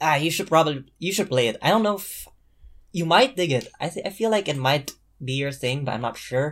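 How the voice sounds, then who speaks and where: In a normal speaking voice, a man talks at a fairly high pitch and a fairly quick pace with lively intonation. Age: young. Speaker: podcast guest. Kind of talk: casual chat.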